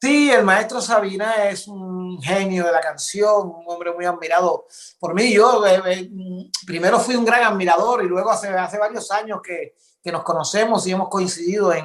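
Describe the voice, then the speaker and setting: A man with a high-pitched voice talks at a moderate pace, his pitch rising and falling in an ordinary way. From Cuba. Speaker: improvising poet and author. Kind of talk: interview answer.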